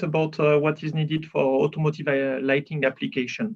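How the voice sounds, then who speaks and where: Speaking at a fairly quick pace, a man has a French accent. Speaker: automotive lighting engineer. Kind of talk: conference presentation. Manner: hesitant, with fillers.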